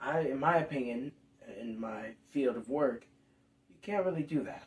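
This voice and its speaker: A man puts on a raspy character voice at medium pitch. He speaks at a moderate pace. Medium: comedy sketch. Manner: casual, straight-talking.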